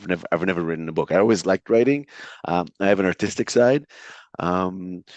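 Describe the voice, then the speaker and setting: The speaker has an Israeli accent and moves at a fairly quick pace with ordinary pitch variation. The sound is dry and close with no echo, over a quiet background. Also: man, very deep, low pitch for a man. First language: Hebrew. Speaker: entrepreneur and author. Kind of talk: interview. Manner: hesitant with fillers.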